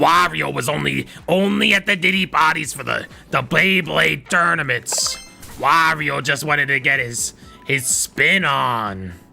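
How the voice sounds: With clear music in the background, a man does a put-on character voice at a fairly high pitch and a fairly slow pace.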